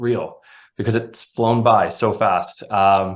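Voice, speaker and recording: With an American accent, a man uses a normal speaking voice and fairly even intonation over a quiet background. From Florida, US South. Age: 30s. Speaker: soccer referee. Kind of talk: interview.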